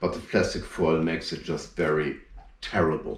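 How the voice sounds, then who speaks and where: Here a man speaks with a German accent. His pace is fairly quick. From northern Germany, Hamburg. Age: 40s. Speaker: strongman performer. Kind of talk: live performance commentary. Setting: home, internet show.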